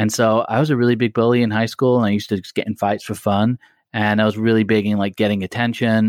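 Fairly even intonation and an American accent come through in a very clean recording with a silent background and a dry, close sound with no echo. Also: man. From Blackpool, northern England. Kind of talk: casual interview chat. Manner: conversational, informal.

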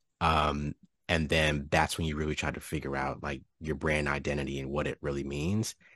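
Against a quiet background, a man speaks with a very deep, low pitch and vocal fry. His tone is bright and sharp, his intonation monotone and flat. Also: moderate pace. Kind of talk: casual chat. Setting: video call.

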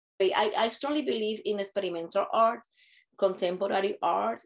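A woman with a Spanish accent, medium pitch and a moderate pace. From Puerto Rico. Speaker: theater director. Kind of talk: interview. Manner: halting.

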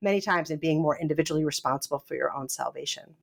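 Recorded very cleanly against a silent background, a woman speaks with an American accent and ordinary pitch variation. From US Northeast. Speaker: professor and author. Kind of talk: interview.

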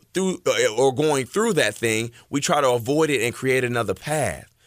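A man with a medium-pitched voice talks at a moderate pace in an animated, energetic tone, with ordinary pitch variation. The recording is very clean, dry and close, with a silent background and no echo. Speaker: radio host and motivational speaker. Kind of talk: motivational radio talk. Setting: radio studio.

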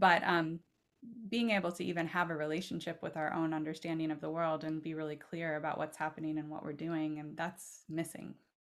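A woman with a very deep, low pitch speaks at a fairly quick pace in an American accent, her intonation monotone and flat. The recording is very clean, with a silent background. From Oregon, US Pacific Northwest. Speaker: author and poet. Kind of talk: casual interview conversation.

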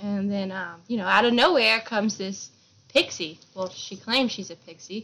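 The speech goes at a moderate pace, with big swings in loudness and ordinary pitch variation. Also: woman, medium pitch for a woman. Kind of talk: casual chat, retelling a book. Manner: animated, laughing.

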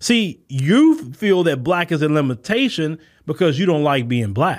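The speaker has an American accent and very wide pitch swings. The recording is very clean, with a silent background. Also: man. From United States. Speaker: podcast host, commentator. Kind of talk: monologue response video. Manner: animated.

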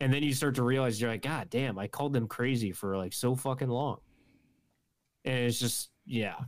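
At a moderate pace and medium pitch, a man with an unremarkable speaking voice and ordinary pitch variation is heard in a very clean recording with a silent background. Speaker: guest, friend of host. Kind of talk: casual chat.

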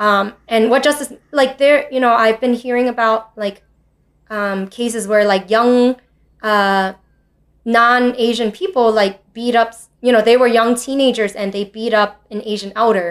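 With an American accent and an ordinary speaking voice, a woman talks at a fairly slow pace with a fairly high pitch and fairly even intonation. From New York City. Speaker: teacher. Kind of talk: interview.

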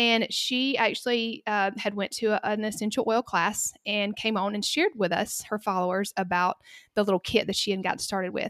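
A woman talks fairly quickly in a Southern US accent at a fairly high pitch, with fairly even intonation. The recording is very clean with a silent background and a dry, close sound with no echo. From US South, Georgia. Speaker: pharmacist. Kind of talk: casual interview chat.

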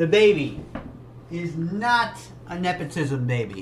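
A man's voice swings very widely in pitch. Room echo is audible. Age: 30s. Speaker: music reaction youtuber. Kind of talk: casual reaction commentary. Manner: animated.

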